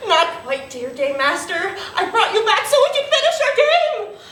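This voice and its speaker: In a put-on character voice, a female-sounding speaker talks with a confident tone at a moderate pace, her pitch extremely high with very wide swings, over slight echo and clear background noise. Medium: stage play. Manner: flustered yet confident.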